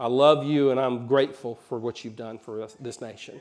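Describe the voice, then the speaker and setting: A man talks at a fairly quick clip. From Alabama, US South. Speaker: pastor. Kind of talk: sermon. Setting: church.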